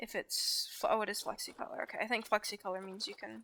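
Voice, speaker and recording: A woman talks with a northern US accent. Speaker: gaming YouTuber. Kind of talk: gameplay commentary. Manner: hesitant, many ums.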